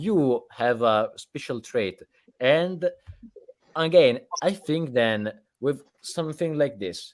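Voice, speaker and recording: A man with an Italian accent speaks at a very slow pace in a fairly high pitch, with lively intonation and long, frequent pauses. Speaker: podcast host. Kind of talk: live interview. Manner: halting.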